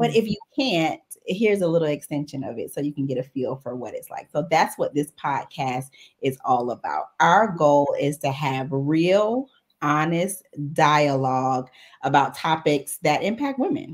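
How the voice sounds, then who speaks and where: A woman with an American accent speaks at a moderate pace in a very deep, low pitch, her intonation lively and her loudness swinging widely. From Jacksonville, Florida (US South). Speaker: podcast co-host. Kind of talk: casual chat. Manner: animated.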